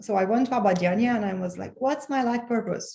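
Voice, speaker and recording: A woman with a Romanian accent speaks in a somewhat breathy voice with a dark, mellow tone. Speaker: author and transformational coach. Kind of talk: podcast interview. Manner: halting, with frequent repetitions.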